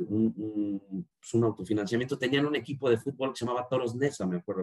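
Man's voice at medium pitch. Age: 40s. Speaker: marketing director. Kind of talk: interview. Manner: halting, many repetitions.

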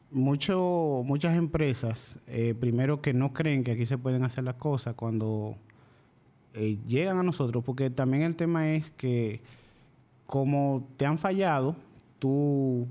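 Very slow and very even in loudness, a man with a Dominican accent speaks at a medium pitch with a dark, mellow tone and ordinary pitch variation. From Dominican Republic, La Vega province (rural). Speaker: machine shop owner. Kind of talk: casual interview.

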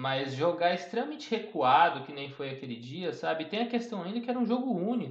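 A man talks at a fairly quick pace with hardly any pauses. His high pitch makes very wide swings. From interior of São Paulo state, Brazil. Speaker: sports podcast co-host, journalism student. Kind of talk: casual football discussion podcast.

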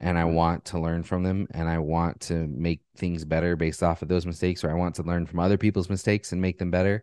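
The speech runs at a very fast pace with hardly any pauses and a monotone, flat intonation. The background is quiet. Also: man, very deep, low pitch for a man, dry, close sound with no echo. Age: 30s. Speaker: entrepreneur. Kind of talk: casual interview.

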